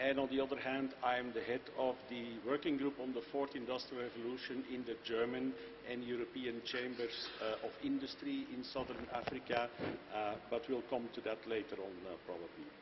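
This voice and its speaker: A man with a Belgian accent talks at medium pitch and a moderate pace, his intonation fairly even, with noticeable background noise behind him. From Belgium. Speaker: company managing director. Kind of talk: panel discussion.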